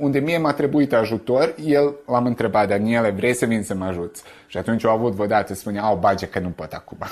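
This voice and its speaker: A medium-pitched man with lively intonation over noticeable background noise. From Vojvodina, Serbia (Romanian village Sân-Mihai). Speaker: poet. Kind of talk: interview testimony. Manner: halting, repeats words.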